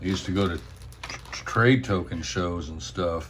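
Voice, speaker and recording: Very deep and low, a man's voice moves at a fairly slow pace with ordinary pitch variation. Audible room echo and noticeable background noise fill the recording. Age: 60s. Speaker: coin and token collector. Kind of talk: show-and-tell video. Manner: casual, halting with fillers.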